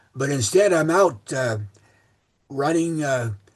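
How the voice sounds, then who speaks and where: Somewhat breathy, the voice carries along. Its intonation stays lively. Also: man. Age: 80s+. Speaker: transit planning expert. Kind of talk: speech to a club meeting. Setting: meeting room with audience. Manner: halting, many fillers and repeats.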